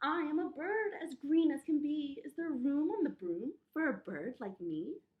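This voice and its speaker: Put-on character voice from a woman, high-pitched, moderate in pace. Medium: read story. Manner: eager.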